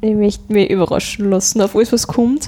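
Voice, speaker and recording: Against noticeable background noise, a woman with an Upper Austrian accent speaks in a fairly high pitch with fairly even intonation. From Upper Austria, Mühlviertel (Rohrbach district). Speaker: dialect pop singer-songwriter. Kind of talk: interview conversation.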